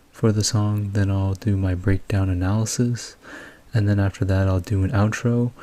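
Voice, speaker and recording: Quiet and flat, a man speaks in a monotone at a fairly low pitch. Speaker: music producer and YouTube music analyst. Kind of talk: music breakdown commentary. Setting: at home. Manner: quiet, low volume.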